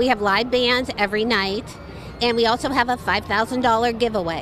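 Music plays in the background as a woman speaks at a high pitch. Her intonation is fairly even, in a dry sound with no echo. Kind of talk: interview answer. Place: street. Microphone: handheld.

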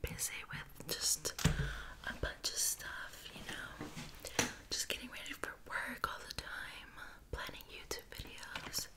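The voice is whispering at a fairly slow pace. Noticeable background noise can be heard. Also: woman. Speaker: ASMR YouTuber. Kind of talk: ASMR whisper ramble to camera. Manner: whispered, soft.

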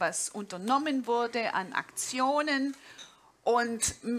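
A woman speaks with a slight Swabian accent. Her pitch is fairly high. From Swabia, southern Germany. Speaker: jazz pianist and professor; speaker. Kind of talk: conference talk. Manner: informal, with hesitations. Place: stage. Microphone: headset.

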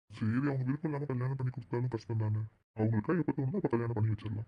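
A cartoonish character voice from a man, medium in pitch, with ordinary pitch variation and a very fast pace. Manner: gentle, affectionate.

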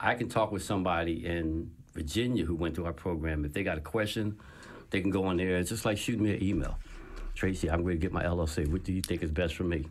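Very deep and low, a man's voice comes fast, with an American accent and fairly even intonation. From New Jersey, Trenton. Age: 50s. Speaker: entrepreneur and author. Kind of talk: interview. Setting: studio. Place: studio. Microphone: studio mic.

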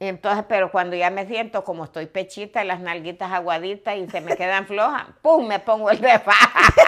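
A woman speaks in a bright, sharp tone with hardly any pauses. Her loudness swings in big jumps. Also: ordinary pitch variation, moderate pace, quiet background. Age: 70s. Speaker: vlogger. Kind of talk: casual interview conversation. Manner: humorous, frank, uses profanity. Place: home room. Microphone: lapel.

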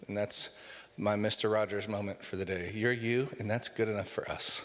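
A man over light background noise. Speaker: pastor. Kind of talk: sermon. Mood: light, joking. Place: church. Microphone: handheld.

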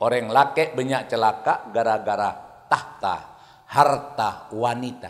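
Over a quiet background, a man speaks very slowly at medium pitch with fairly even intonation. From East Java, Indonesia. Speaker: Islamic preacher. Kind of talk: sermon. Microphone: handheld.

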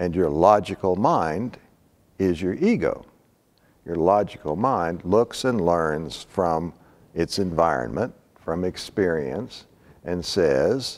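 A man's very deep, low voice with ordinary pitch variation, at a very slow pace broken by long, frequent pauses. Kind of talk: lecture. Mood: calm, reflective. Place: hall. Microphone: lapel.

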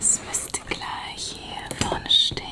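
A woman's voice is only a whisper. Her words come very slowly. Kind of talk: ASMR role-play, soft-spoken. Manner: soft, hushed ASMR roleplay voice. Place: home room.

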